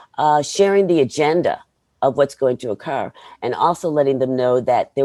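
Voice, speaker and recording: Recorded very cleanly against a silent background, a woman with an American accent speaks in a dark, mellow tone with ordinary pitch variation. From New York. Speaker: learning and development program manager. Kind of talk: interview. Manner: fast.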